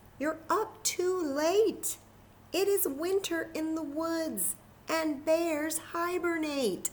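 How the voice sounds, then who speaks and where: This put-on character voice sits at an extremely high pitch and sounds squeaky. It moves at a very slow pace. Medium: read story. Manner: fretful.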